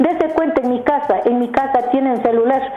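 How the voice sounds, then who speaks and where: Against noticeable background noise and audible room echo, a woman speaks at a fairly quick pace. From southern Quito, Ecuador. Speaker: radio caller. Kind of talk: phone-in opinion. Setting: phone call. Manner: animated.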